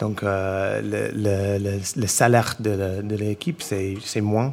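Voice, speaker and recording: The voice has an English accent. The pace is fairly slow. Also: man. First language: English (speaking French). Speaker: chef and restaurant owner. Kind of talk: panel discussion before a live audience. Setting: stage with audience in a restaurant. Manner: halting, many repetitions.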